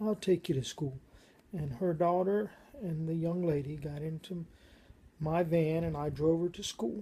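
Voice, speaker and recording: A woman speaks at a fairly slow pace in a fairly low, somewhat breathy voice with a dark, mellow tone. She leaves long, frequent pauses. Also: ordinary pitch variation. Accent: American. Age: 60s. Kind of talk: personal testimony monologue.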